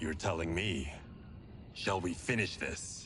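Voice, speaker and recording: Against clear background noise, a man uses a put-on character voice pitched very deep and low. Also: fairly slow pace. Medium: video game.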